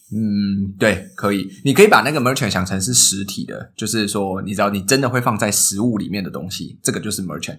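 Hardly pausing at all, a man speaks at fairly low pitch with ordinary pitch variation. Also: fairly quick pace. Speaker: food delivery company manager. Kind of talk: interview. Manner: clear articulation.

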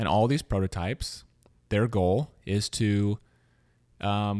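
An ordinary speaking voice from a man with an American accent, fairly low in pitch and fairly even in intonation. The recording is very clean with a silent background and a dry, close sound with no echo. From US South, Louisiana. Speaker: podcast host. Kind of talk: interview; scripted narration.

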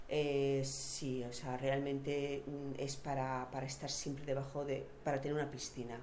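A woman speaks at a fairly slow pace with a very deep, low pitch. Her tone is dark and mellow, with audible room echo. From Basque Country (San Sebastián), Spain. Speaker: local resident hosting a visitor. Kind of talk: casual chat. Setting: at home in her flat. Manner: animated.

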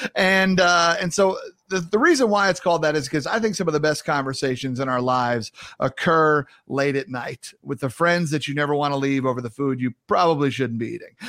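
With a New York accent, a man speaks at a fairly quick pace and fairly high pitch in an animated, upbeat, bright and sharp tone with ordinary pitch variation, in a very clean recording with a silent background. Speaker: podcast host and speaker. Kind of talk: casual interview chat.

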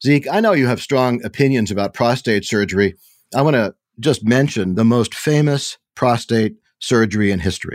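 An unremarkable speaking voice from a man, medium in pitch with ordinary variation, moderate pace, very even loudness, dry and close with no echo, on a very clean recording with a silent background. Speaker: bioethicist and historian co-host. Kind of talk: podcast discussion and narration.

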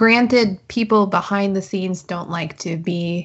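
A somewhat breathy woman's voice, medium in pitch, fairly slow, with ordinary pitch variation. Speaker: podcast host. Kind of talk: casual chat.

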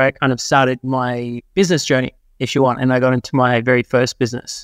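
A man in an Australian accent talks at a very fast pace, the sound dry and close with no echo over a quiet background. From Australia, New South Wales. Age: 30s. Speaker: marketing consultant. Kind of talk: podcast interview.

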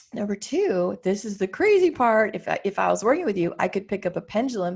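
A woman's medium-pitched, somewhat breathy voice at a fairly quick pace. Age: 50s. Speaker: business coach, former psychotherapist. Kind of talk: interview chat.

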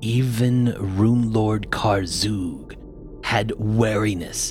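A low-pitched, put-on character voice over clear music in the background. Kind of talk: fantasy villain voice. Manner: contemptuous, imperious.

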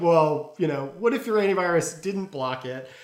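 A man speaks at a fairly quick pace in a high pitch for a man, with noticeable background noise. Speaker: security company interviewee. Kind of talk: interview.

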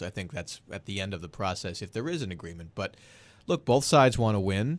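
An unremarkable speaking voice with an American accent, at a fairly quick pace. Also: man. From Boston area. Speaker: political strategist. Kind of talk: panel discussion.

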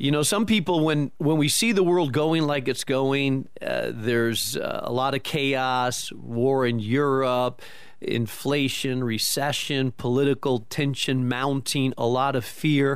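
In a plain, everyday voice, a man speaks fairly slowly at a fairly high pitch with ordinary pitch variation. He barely pauses at all. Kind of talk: radio interview.

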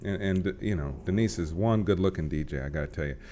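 The man's voice sits very deep and low, with ordinary pitch variation. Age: 30s. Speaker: county commissioner. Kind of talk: interview. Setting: studio.

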